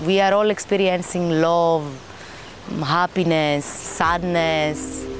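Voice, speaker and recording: The speaker has a Greek accent, and there is noticeable background noise. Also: woman. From Greece. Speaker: resort visitor. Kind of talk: interview testimony.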